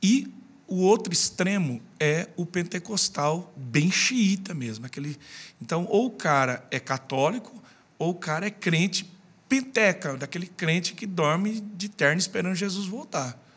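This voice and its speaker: A man with a high pitch speaks at a fairly slow pace in a very clean recording with a silent background. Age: 40s. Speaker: pastor. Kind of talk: casual chat.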